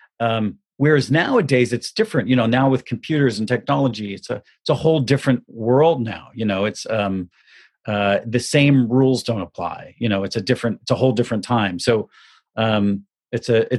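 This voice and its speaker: Against a quiet background with dry, close sound and no echo, a man with an American accent speaks at a fairly quick pace and medium pitch with ordinary pitch variation. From US South, Southern Florida. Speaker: film makeup artist. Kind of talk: interview. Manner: halting, many fillers and repetitions.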